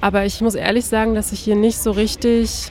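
A woman keeps a fairly quick pace while noticeable noise runs in the background. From Berlin. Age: 20s. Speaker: master's student. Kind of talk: interview. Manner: hesitant, with fillers.

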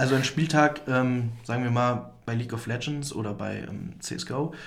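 A man's somewhat breathy voice comes through with audible room echo. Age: 20s. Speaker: student esports club chairman. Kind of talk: interview. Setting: studio.

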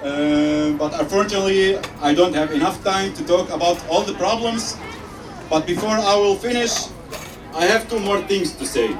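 Speaking at a moderate pace with lively intonation, a man with a high pitch is heard over crowd noise in the background and audible room echo. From Syria. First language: Arabic (speaking German). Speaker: refugee. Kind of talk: rally speech. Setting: outdoor rally with crowd. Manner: halting.

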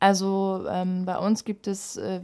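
Her tone dark and mellow, a woman speaks at a medium pitch in a very clean recording with a silent background. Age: 20s. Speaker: youth party chairwoman, student. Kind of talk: political interview.

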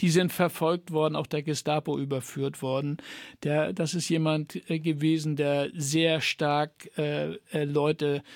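A man's fairly high-pitched voice, monotone and flat, at a very slow pace, dry and close with no echo, on a very clean recording with a silent background. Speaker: author and former teacher. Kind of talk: radio interview. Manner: halting, many fillers.

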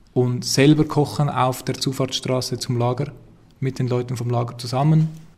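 A man speaks at a medium pitch and a fairly slow pace, in a monotone, flat intonation. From Zurich, Switzerland. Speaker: activist. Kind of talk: interview. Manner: halting, repeats words.

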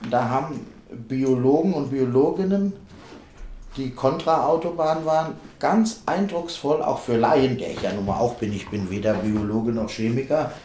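A medium-pitched man speaks at a fairly slow pace with lively intonation. Audible room echo and noticeable background noise surround him. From Hesse, Vogelsberg area. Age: 40s. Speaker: festival organizer and football fan activist. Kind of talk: interview.

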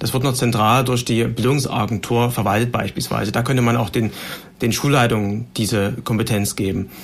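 A man at medium pitch, moderate pace, very even loudness and fairly even intonation, with noticeable background noise. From Saxony, Germany (Heidenau). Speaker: politician, party education spokesman. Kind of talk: panel discussion. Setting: studio.

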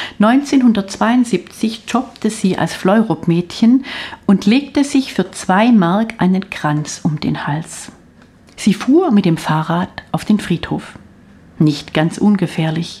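Very slowly, a woman speaks at a medium pitch with lively intonation and a dark, mellow, somewhat breathy tone. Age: 60s. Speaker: author. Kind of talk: reading aloud. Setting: studio.

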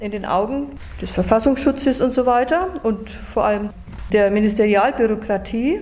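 Pitched high, a woman speaks at a fairly slow pace with ordinary pitch variation. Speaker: retired teacher. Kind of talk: interview testimony. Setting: recorded interview in Nürnberg.

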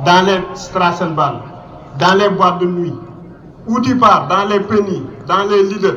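A man speaks in a high pitch with a raised, projected voice, fairly even intonation and a moderate pace, with audible room echo and noticeable background noise. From Mauritania. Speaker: refugee activist. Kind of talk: rally speech.

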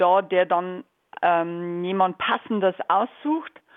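A woman talks in a plain, everyday voice at a fairly slow pace with ordinary pitch variation. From Bavaria. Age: 50s. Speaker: volunteer prison visitor. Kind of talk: radio interview.

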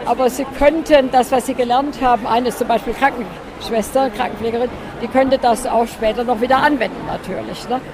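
A woman speaks at a high pitch with monotone, flat intonation. Noticeable background noise runs underneath. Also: fairly quick pace. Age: 80s+. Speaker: charity association vice-chair. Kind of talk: interview at an event stand. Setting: event stand. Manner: hesitant with fillers.

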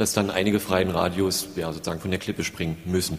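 A man's voice with fairly even intonation over noticeable background noise. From Saxony, Leipzig. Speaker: community radio volunteer. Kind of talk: audience comment.

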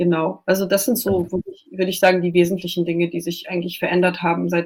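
Fairly quick pace and monotone, flat intonation. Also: woman. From Germany. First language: Russian (speaking German). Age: 20s. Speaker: journalist. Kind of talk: radio interview.

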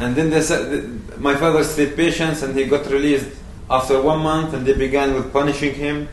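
Speaking with an Arabic accent, a man with a fairly high voice talks at a moderate pace in a flat monotone, with audible room echo and noticeable background noise. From Palestine, West Bank village near Ramallah. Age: 20s. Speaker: activist. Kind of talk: public talk. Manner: halting.

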